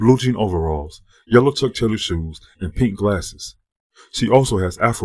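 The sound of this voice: An unforced reading voice with lively intonation is heard over a quiet background.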